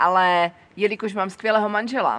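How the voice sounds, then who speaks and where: At a moderate pace and with ordinary pitch variation, a woman speaks in a plain, everyday voice on a very clean recording with a silent background. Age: 40s. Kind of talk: personal monologue. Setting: seated on camera.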